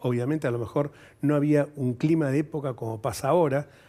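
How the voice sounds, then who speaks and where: The voice has a dark, mellow tone and fairly even intonation. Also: man. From Argentina, Buenos Aires. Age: 70s. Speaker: politician and lawyer. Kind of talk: TV interview.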